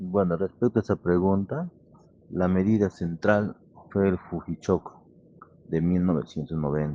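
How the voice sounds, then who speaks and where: A man with a very deep, low, dark and mellow voice speaks at a fairly slow pace with long, frequent pauses. His intonation is fairly even, and the sound is dry and close with no echo. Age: 60s. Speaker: electrical engineer. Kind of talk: interview.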